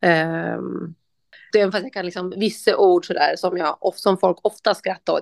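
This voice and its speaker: The recording is dry and close with no echo over a quiet background. A woman speaks with vocal fry and fairly even intonation. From northern Gotland, Sweden. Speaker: interviewee. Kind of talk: interview.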